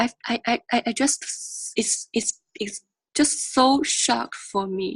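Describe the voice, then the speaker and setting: In a dry, close recording with no echo, a woman with a high pitch speaks very slowly, her intonation lively. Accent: Chinese. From rural China. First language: Chinese. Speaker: graduate student in oral communication. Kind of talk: interview answer.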